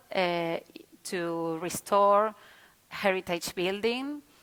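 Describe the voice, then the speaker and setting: Speech comes at a very slow pace with a Spanish accent, a bright, sharp tone and ordinary pitch variation. The recording is very clean, with a silent background. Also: woman. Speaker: city official presenting an urban renewal project. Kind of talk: conference presentation. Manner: halting, with frequent hesitations and repetitions.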